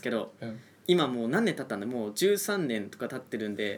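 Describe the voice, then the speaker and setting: A man of medium pitch talks at a very fast pace with very wide pitch swings. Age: 20s. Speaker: trainee race announcer and podcast co-host. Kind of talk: casual chat.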